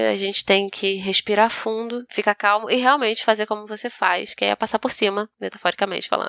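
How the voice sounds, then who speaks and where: The voice belongs to a woman, bright and sharp in tone. The sound is dry and close, with no echo. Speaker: podcast co-host. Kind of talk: casual chat. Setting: video call.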